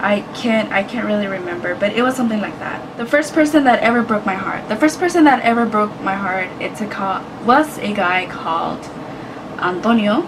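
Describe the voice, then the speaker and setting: Lively intonation from a woman with a Spanish accent, fairly high-pitched, at a moderate pace, amid audible room echo and noticeable background noise. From United States, Mexican-American family. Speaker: YouTuber. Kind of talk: casual vlog. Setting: indoors, hot room.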